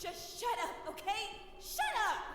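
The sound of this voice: At a fairly slow pace, a woman uses a put-on character voice with an extremely high pitch and big pitch swings.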